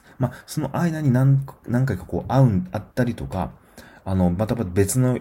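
Somewhat breathy, a man speaks with a dark, mellow tone and lively intonation. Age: 40s. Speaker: podcast host reviewing films. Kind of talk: solo film review podcast. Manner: frequent fillers and hesitations.

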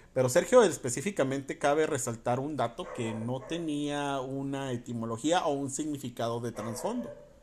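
A man speaks at a moderate pace with an animated tone. His pitch is fairly high. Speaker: podcast host. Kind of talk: casual monologue. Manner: animated, laughing often.

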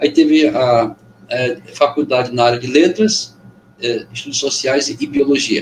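Pausing long and often, a man talks at a fairly high pitch with ordinary pitch variation. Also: fairly slow pace. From Amazonas interior, Brazil (Benjamin Constant). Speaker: poet, musician and former teacher. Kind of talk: casual interview chat. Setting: video call.

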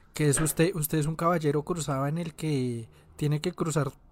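A man with an ordinary speaking voice, fairly high in pitch and fairly even in intonation, is heard in a very clean recording with a silent background. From Colombia, Antioquia. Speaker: podcast host. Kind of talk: casual chat.

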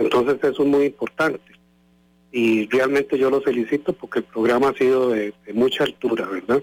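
Heard with a dry, close sound and no echo, a man with a plain, everyday voice speaks at a medium pitch and moderate pace, with fairly even intonation and very even loudness. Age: 60s. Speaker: radio listener. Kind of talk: phone-in chat.

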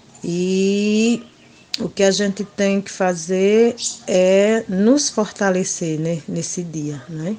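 Speaking at a very slow pace, a woman shows big swings in loudness. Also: medium pitch for a woman, ordinary pitch variation. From Pernambuco backlands, northeast Brazil. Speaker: schoolteacher and quilombola community leader. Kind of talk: interview. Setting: remote call. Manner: frequent hesitations and filler né.

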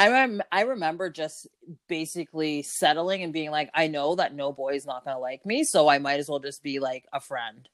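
Someone with a Canadian accent speaks at a moderate pace with ordinary pitch variation. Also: woman, very deep, low pitch for a woman. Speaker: podcast host. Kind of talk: casual chat.

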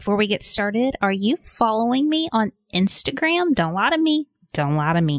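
In a dry, close sound with no echo, a woman speaks at a fairly quick pace and a medium pitch with big pitch swings.

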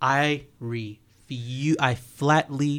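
A man on a very clean recording, the background silent. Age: 30s. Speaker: podcast host and business owner. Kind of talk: casual chat. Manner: animated.

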